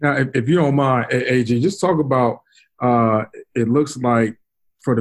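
A man with an American accent, medium in pitch, at a fairly slow pace. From Brooklyn, New York. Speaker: podcast host. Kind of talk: casual chat.

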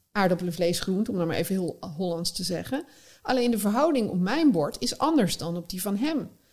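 With an unremarkable speaking voice, a woman talks at a moderate pace and medium pitch, using lively intonation. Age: 40s. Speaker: eating psychologist. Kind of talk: casual interview.

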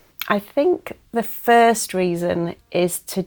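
Speaking with an English accent, a woman has a fairly low pitch. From England. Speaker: professor of second language education. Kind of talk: interview.

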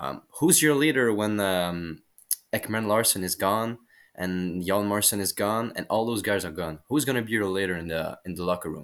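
In a French accent, a man with a fairly low pitch is heard in a very clean recording with a silent background. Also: ordinary pitch variation, moderate pace. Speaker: hockey journalist. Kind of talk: casual chat. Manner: halting.

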